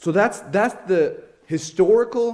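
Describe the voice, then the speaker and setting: A man with a Rhode Island accent speaks at a fairly slow pace. His tone is dark and mellow. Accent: Northern Rhode Island. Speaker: lay preacher. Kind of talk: sermon.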